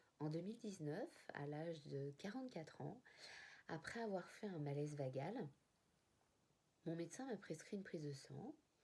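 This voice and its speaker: A woman's fairly low, dark and mellow voice, somewhat breathy, with lively intonation, a moderate pace and long, frequent pauses. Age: 40s. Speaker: type 1 diabetic sharing her experience. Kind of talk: personal testimony to camera.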